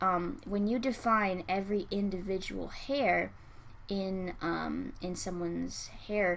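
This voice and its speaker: Soft-spoken, a woman talks at a very slow pace with a medium pitch and ordinary pitch variation. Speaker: digital artist and art critic. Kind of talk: art critique tutorial narration. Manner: soft-spoken, quiet.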